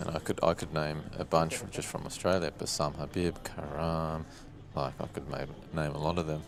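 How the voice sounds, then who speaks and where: A man's very deep, low voice in a flat monotone at a moderate pace, with noticeable background noise. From South Africa. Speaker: poker commentator. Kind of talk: live commentary.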